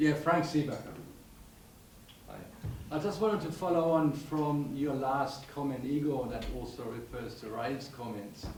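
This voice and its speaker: A man with a fairly high pitch speaks at a moderate pace with ordinary pitch variation and long, frequent pauses, amid noticeable background noise and audible room echo. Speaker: audience member asking questions. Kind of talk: panel discussion Q&A. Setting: symposium hall with microphone. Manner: loud.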